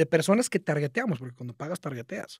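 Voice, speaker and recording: Against a quiet background, a man speaks with a high pitch and lively intonation. His tone is dark and mellow, and the sound is dry with no echo. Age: 30s. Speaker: marketing entrepreneur; podcast guest. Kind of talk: casual interview chat. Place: studio. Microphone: studio mic.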